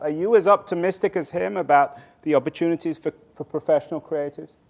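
Speaking with a normal speaking voice, a man talks at a fairly quick pace and a fairly high pitch. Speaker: moderator and author. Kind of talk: interview on stage. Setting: stage with audience.

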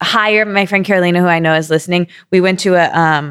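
A woman with an American accent speaks at medium pitch in a flat monotone. The recording is very clean, with a silent background. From Michigan, US. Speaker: podcast co-host. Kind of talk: casual chat.

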